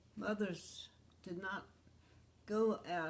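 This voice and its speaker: Talking very slowly, a woman speaks with an American accent. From US South, Virginia (Fauquier County). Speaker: oral history interviewee. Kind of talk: personal reminiscence. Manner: halting, with many fillers.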